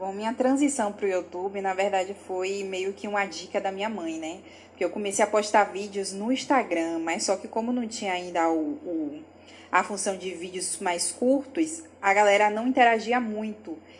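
At a moderate pace, a woman speaks at medium pitch with ordinary pitch variation in an ordinary speaking voice. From Bahia, Brazil (Salvador). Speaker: lawyer and social media content creator. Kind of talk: interview.

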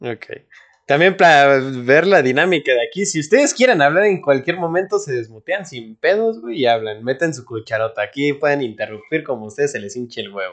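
Moving at a fairly quick pace, a man speaks with very wide pitch swings and big swings in loudness. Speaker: podcast host. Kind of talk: casual chat.

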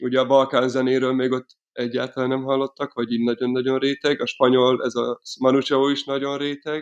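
Against a quiet background, a man speaks at a fairly quick pace in a monotone, flat intonation, the sound dry and close with no echo. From Hungary, Miskolc. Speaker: folk punk band violinist, singer and manager. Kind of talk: casual interview. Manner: halting, many repetitions and fillers.

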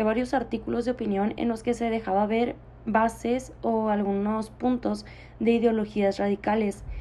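This woman has a fairly high pitch and a dark, mellow tone. Her intonation stays fairly even. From Mexicali, Baja California, Mexico. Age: 20s. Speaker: podcast host and university student. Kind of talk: solo monologue.

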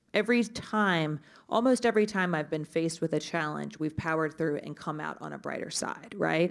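In a normal speaking voice, a woman with a fairly low pitch talks at a moderate pace with ordinary pitch variation. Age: 30s. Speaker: media advertising executive. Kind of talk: live panel discussion. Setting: stage with audience.

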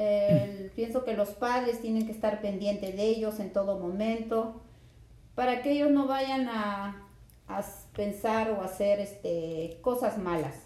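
Over noticeable background noise and audible room echo, a woman speaks fairly slowly at a medium pitch with ordinary pitch variation. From Peru, Lima. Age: 30s. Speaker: mother interviewed by her son. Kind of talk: casual interview. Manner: hesitant, with fillers.

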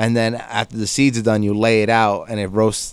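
The voice carries an American accent and moves at a moderate pace. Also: man. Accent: Jersey accent (remarked as Boston-like). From New Jersey, Hudson County (North Bergen). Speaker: local news writer and community figure. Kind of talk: casual chat.

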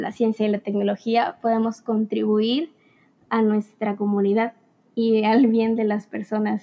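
A woman speaks at a fairly slow pace in a plain, everyday voice with fairly high pitch. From Veracruz, Mexico. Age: young. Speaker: engineering student. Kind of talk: podcast interview.

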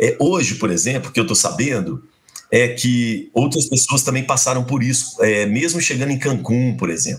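Moderate pace and medium pitch from a man, with vocal fry. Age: 50s. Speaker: university professor and radio broadcaster. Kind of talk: casual interview, storytelling.

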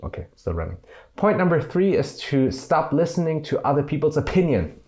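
Vocal fry marks this man's voice at a fairly quick pace. The recording is very clean, with a silent background. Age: 20s. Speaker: YouTuber. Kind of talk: vlog monologue. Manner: casual, with many fillers.

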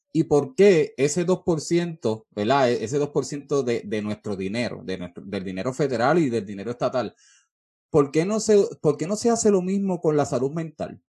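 In a Puerto Rican accent, a somewhat breathy voice with a dark, mellow tone speaks fairly slowly, its pitch swinging very widely. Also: man, fairly high pitch for a man. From Puerto Rico, Peñuelas. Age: 30s. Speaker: podcast host. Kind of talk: interview.

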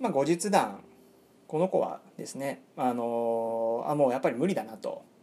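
A man with an ordinary speaking voice speaks at a moderate pace. His loudness swings widely. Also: medium pitch for a man. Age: 30s. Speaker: podcast host, pickup artist. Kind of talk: monologue storytelling. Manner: many fillers (えー); polite, formal.

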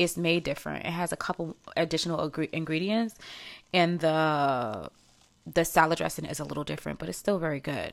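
A woman with a New York accent speaks in a very deep, low pitch on a very clean recording with a silent background. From New York (Harlem). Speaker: podcast host and stylist. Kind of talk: casual chat.

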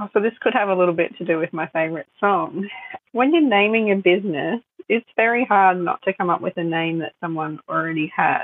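With an Australian accent, a woman speaks at a medium pitch and a fairly quick pace. Her intonation is lively. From Australia, Sunshine Coast (Queensland). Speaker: photographer and business owner. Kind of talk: interview.

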